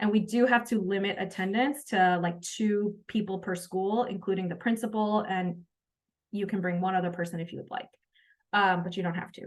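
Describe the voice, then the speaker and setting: A woman speaks in a medium pitch. Her intonation stays fairly even. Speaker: education coach and workshop facilitator. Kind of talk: online training session wrap-up. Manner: fast.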